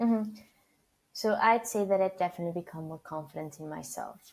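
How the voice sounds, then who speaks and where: A woman talks with a Spanish accent. Her accent comes through in the clip. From Argentina. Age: 20s. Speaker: PR student leader and founder. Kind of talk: podcast interview.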